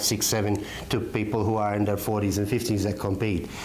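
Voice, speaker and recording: Amid noticeable background noise and audible room echo, a man with a fairly low pitch speaks in a monotone, flat way. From Malta. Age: 50s. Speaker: martial arts instructor. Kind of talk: interview. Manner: hesitant, many fillers.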